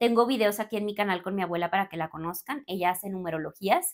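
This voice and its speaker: The tone is animated, with ordinary pitch variation. The background is quiet. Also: woman. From Mexico, Torreón, Coahuila; Coahuila, Mexico. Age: 30s. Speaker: spiritual coach and content creator; spiritual coach, content creator. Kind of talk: casual Q&A monologue to camera. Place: home room.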